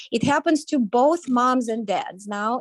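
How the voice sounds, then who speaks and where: A woman's high-pitched voice with lively intonation, dry and close with no echo. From Ukraine. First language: Ukrainian or Russian. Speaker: parent advocate. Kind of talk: interview statement. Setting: video call.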